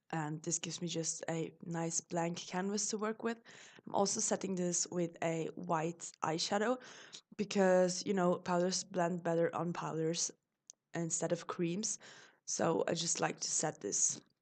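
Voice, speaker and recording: A woman with a fairly low pitch and a German accent speaks at a fairly slow pace with fairly even intonation. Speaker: beauty vlogger. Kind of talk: makeup tutorial voiceover. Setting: voiceover recording.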